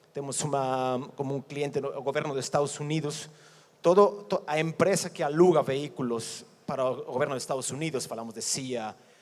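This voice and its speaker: Speaking at a moderate pace, a man with a Mexican accent has a fairly high pitch. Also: ordinary pitch variation. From Mexico. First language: Spanish (speaking Portuguese). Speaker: company executive. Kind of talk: conference presentation. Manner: halting, with repetitions.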